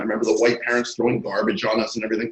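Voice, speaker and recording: A somewhat breathy male voice of medium pitch with an American accent. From New York City (Queens). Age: 60s. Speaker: screenwriter and comic book artist. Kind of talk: interview. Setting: video call.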